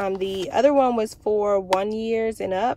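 Over light background noise, a woman speaks with fairly even intonation, the sound dry with no echo. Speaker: parent vlogger. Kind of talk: casual vlog chat. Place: car. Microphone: phone near.

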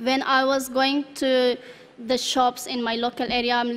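A high-pitched woman's voice with a non-native accent, flat monotone intonation and a moderate pace. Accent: foreign accent in English. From Afghanistan. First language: not English (English is her third language). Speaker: refugee speaker. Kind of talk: testimony. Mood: calm, earnest, slight smiles. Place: hall. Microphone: podium.

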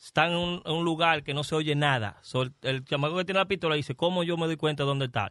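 A man with an American accent talks at a very fast pace and fairly high pitch, with hardly any pauses and ordinary pitch variation. The background is quiet and the sound is dry with no echo. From Dominican, New York City; Dominican Republic. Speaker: comedian; guest comedian. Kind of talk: casual chat. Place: studio. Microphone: studio mic.

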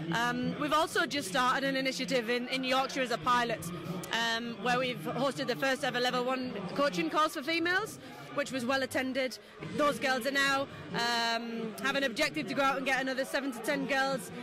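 Music plays in the background as a woman speaks at a fairly quick pace in a raised, projected voice, the sound dry with no echo. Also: ordinary pitch variation. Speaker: national boxing development coach. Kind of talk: interview answer. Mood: upbeat, positive. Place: hall. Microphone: handheld.

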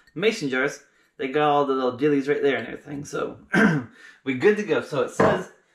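A man talks at a very fast pace in a high voice, with a quiet background and audible room echo. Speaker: home cooking vlogger. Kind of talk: casual vlog chat. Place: kitchen. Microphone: camera far.

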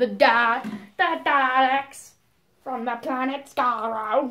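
In a put-on character voice, the speaker talks very slowly with monotone, flat intonation. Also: woman, high pitch for a woman. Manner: menacing, mechanical.

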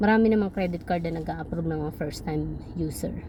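Over noticeable background noise, the words rush by at a very fast pace. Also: woman. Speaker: vlogger. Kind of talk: casual vlog monologue.

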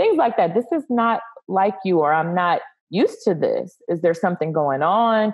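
A woman speaks at a medium pitch with lively intonation. The background is quiet. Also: moderate pace. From US South (Texas, family from Louisiana). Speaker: speech coach and speech pathologist; speech coach. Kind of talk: casual interview. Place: home room. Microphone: video call.

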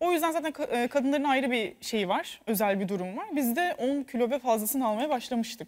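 With lively intonation, a high-pitched woman speaks over a quiet background. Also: fairly quick pace. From Turkey. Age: 20s. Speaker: TV commentator and former contestant; TV panelist. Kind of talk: casual chat. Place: studio. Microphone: lapel.

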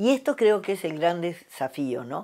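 A woman speaks fairly slowly with a dark, mellow tone. Her intonation is lively, and the background is quiet. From Argentina. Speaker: communication professor. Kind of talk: testimony interview. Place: home room. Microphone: lapel.

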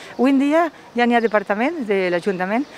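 A woman's voice sits at a fairly high pitch. The sound is dry with no echo, over light background noise. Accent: Valencian. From Valencia region, Spain. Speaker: local councillor. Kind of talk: interview. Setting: outdoors. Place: street. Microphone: handheld.

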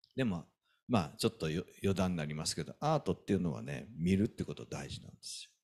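Over a quiet background, a man talks at a fairly quick pace in a very deep, low pitch with vocal fry. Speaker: pastor. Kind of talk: sermon. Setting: church. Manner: animated. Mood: warm, explanatory. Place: church. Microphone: handheld.

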